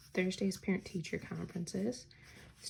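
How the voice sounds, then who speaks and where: The woman speaks quietly. Her pace is moderate. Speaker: teacher and planner vlogger. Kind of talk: casual plan-with-me tutorial.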